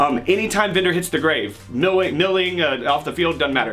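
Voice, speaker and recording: Over faint background music, a man speaks at a fairly quick pace. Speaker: card game content creator. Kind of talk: casual commentary explaining a deck.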